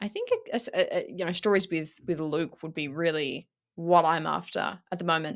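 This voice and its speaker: A woman with an Australian accent speaks in an animated tone at a fairly quick pace. The recording is very clean, with a silent background. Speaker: YouTube content creator. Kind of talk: casual interview chat. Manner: animated, filler-heavy.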